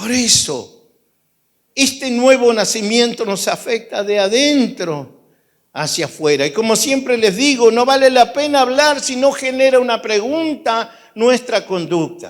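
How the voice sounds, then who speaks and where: At a fairly slow pace, a man with extremely high pitch and lively intonation is heard in a very clean recording with a silent background. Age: 60s. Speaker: pastor. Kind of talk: sermon.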